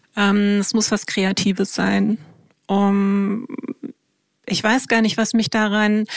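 Speaking at a very slow pace with long, frequent pauses, a woman keeps a monotone, flat intonation, medium pitch and very even loudness. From Germany, Wiesbaden. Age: 50s. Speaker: startup co-founder. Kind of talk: interview.

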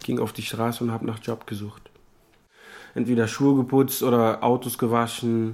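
A man's medium-pitched voice, monotone and flat, at a moderate pace with long, frequent pauses. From Africa. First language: not German (speaking German). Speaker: refugee. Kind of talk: interview monologue.

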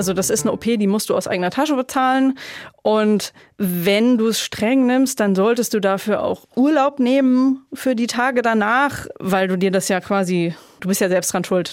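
A woman with an unremarkable speaking voice talks at a moderate pace, her medium pitch moving with ordinary variation. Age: 30s. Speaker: childfree woman, sterilized, runs an advocacy group. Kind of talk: interview, personal story.

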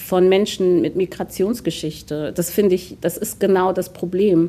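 At a moderate pace, a woman speaks at a medium pitch in a dark, mellow tone. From Germany, Hunsrück (Rhineland-Palatinate). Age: 30s. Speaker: city politician and theatre diversity officer. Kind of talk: radio interview. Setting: city hall interview.

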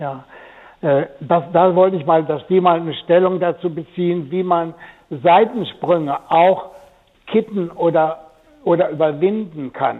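Very slowly, a man talks in a high voice with fairly even intonation. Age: 80s+. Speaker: caller. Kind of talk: phone-in call.

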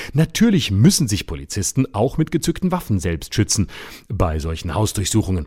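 With a dark, mellow tone and a fairly low pitch, a somewhat breathy man speaks at a moderate pace through very wide pitch swings on a very clean recording with a silent background. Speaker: satirist radio commentator. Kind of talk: satirical rant. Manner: scolding, bluntly pointed.

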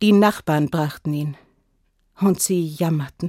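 Her dark, mellow tone and lively intonation come through in a very clean recording with a silent background and a dry, close sound with no echo. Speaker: storyteller. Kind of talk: fairy tale telling. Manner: calm, measured storytelling pace; repetitive, sing-song refrain with pauses.

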